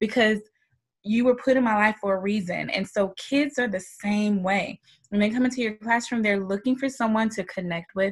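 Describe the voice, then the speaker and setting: A woman with an American accent and a somewhat breathy, fairly high voice speaks at a moderate pace with fairly even intonation. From US South, Georgia. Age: 40s. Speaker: middle school teacher and life coach. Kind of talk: casual interview.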